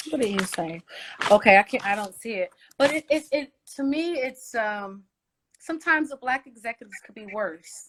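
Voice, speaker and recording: At a moderate pace, a woman with a fairly high pitch talks with very wide pitch swings and big swings in loudness, recorded dry and close with no echo. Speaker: singer. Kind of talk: interview.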